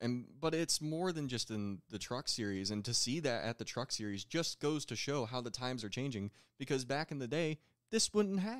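On a very clean recording with a silent background and a dry, close sound with no echo, a man with an unremarkable speaking voice talks at a medium pitch and moderate pace with lively intonation. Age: 20s. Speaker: dwarf car racing driver. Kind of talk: casual chat.

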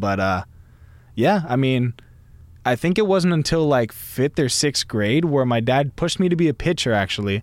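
Speaking with a Californian accent, a man moves at a fairly quick pace with lively intonation in a very clean recording over a silent background. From US West Coast. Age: 20s. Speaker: podcast host. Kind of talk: casual monologue. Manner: laid-back.

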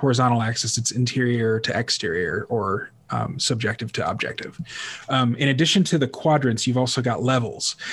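A man talks in a medium-pitched voice with a somewhat breathy quality. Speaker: podcast host. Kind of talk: casual chat. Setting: video call.

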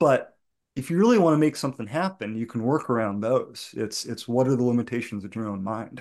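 Against a quiet background, a man with an American accent talks at a fairly quick pace in a medium pitch, with ordinary pitch variation and an ordinary speaking voice. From New England (outside Boston). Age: 40s. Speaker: bluegrass musician. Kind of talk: casual interview chat.

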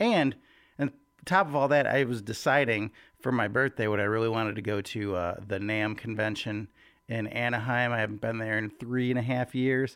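Here is a man with a normal speaking voice, at medium pitch and a moderate pace. His pitch varies in an ordinary way, and the recording is very clean with a silent background. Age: 40s. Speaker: church worship leader and devotional podcaster. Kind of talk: casual devotional talk. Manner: casual, conversational.

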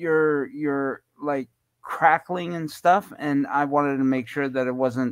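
Speaking fairly slowly in a fairly high pitch, a man uses an ordinary speaking voice on a very clean recording with a silent background. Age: 50s. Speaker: guest, blind guide dog user. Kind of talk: casual chat.

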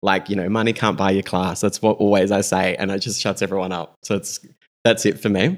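A man with an Australian accent talks at a fairly quick pace and a fairly low pitch. The recording is very clean with a silent background. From South Australia, Greek-Australian family. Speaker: fashion stylist. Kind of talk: casual interview chat. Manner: animated.

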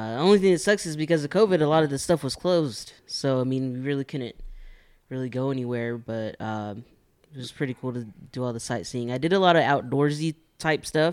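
A man talks at a fairly quick pace with a medium pitch and ordinary pitch variation. His is a plain, everyday voice. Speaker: regular guest, prison worker. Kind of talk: casual chat.

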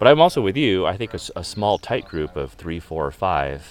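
Speaking at a fairly quick pace, the man's voice carries vocal fry. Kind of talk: casual chat. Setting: outdoors. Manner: friendly.

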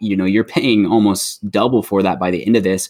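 A man speaks at a moderate pace in an ordinary speaking voice, pitched fairly low with ordinary pitch variation. The recording is very clean, with a silent background. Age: 20s. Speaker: mortgage loan officer, returning guest. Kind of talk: casual chat.

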